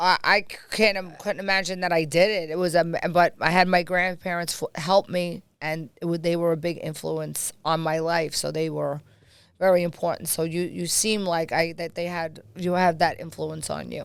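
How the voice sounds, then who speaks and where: A woman's fairly low, monotone, flat voice in a very clean recording with a silent background. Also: moderate pace. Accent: American. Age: 50s. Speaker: podcast host. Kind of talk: casual interview chat.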